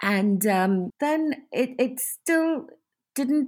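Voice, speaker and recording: A woman talks with lively intonation. The recording is very clean, with a silent background. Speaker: novelist. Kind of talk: interview. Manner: expressive reading.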